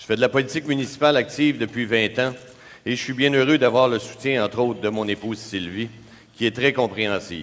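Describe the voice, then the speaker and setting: Fairly quick speech with ordinary pitch variation, a normal speaking voice. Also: man. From Quebec, Laval. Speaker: mayoral candidate. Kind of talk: prepared opening statement in a debate. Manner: formal.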